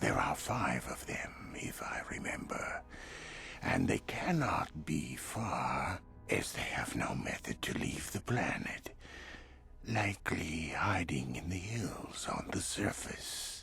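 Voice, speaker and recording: A man whispers in a put-on character voice at a fairly slow pace. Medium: video game. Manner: polished, measured.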